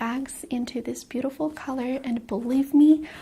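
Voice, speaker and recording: Soft-spoken and high-pitched, a woman talks at a moderate pace with fairly even intonation. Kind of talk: ASMR vlog, casual talk to camera.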